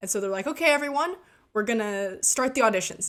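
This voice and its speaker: A woman speaks at a fairly high pitch with lively intonation. She has an unremarkable speaking voice. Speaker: gaming storytime youtuber. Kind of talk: storytelling over gameplay.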